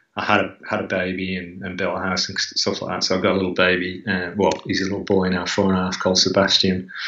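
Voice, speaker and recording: A man's very deep, low voice, monotone and flat, at a very fast pace with hardly any pauses, in audible room echo. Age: 50s. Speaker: former BMX racer. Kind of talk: casual interview. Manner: halting, many fillers and repetitions; quiet.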